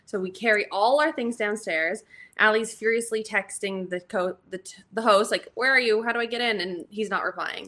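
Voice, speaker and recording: Speech with ordinary pitch variation and big swings in loudness runs over music in the background. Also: woman, moderate pace. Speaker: host's best friend. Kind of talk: casual chat.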